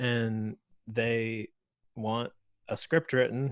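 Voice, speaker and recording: This man speaks with an American accent. His pitch sits in the medium range. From Florida. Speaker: video creator, meetup organizer. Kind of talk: casual group chat. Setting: video call.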